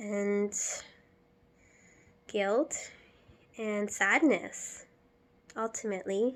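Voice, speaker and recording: A soft-spoken woman talks very slowly in a fairly high pitch. She leaves long, frequent pauses. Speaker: vlogger. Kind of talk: personal vlog monologue.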